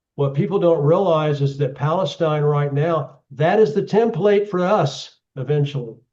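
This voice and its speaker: A man with an Oklahoma accent, a fairly high pitch and a dark, mellow tone, at a moderate pace with ordinary pitch variation and hardly any pauses. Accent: Oklahoma American English. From US, Oklahoma. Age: 70s. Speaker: geopolitical analyst. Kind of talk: talk with audience Q&A. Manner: halting, many repeated words.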